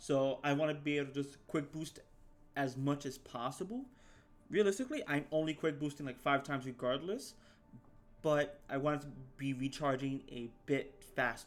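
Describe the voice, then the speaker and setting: The voice is quiet, with fairly even intonation at a moderate pace. Music plays in the background. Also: man, fairly high pitch for a man. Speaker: gaming youtuber. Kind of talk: gameplay tutorial. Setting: at home, recording. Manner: quiet, held-back volume; halting, many repeats and fillers.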